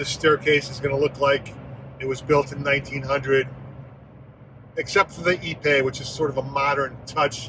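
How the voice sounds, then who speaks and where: Monotone, flat delivery at a moderate pace, broken by long, frequent pauses. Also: man, fairly high pitch for a man. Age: 60s. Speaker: vlogger. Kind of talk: personal vlog monologue. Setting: in a car.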